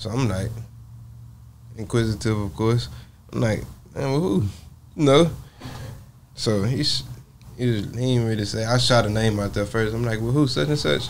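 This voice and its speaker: Lively intonation in an American accent at a moderate pace, with long, frequent pauses and light background noise. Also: man, medium pitch for a man. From Port Arthur, Texas; Texas. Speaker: rapper; podcast guest. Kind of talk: interview. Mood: reflective, personal. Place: studio. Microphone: lapel.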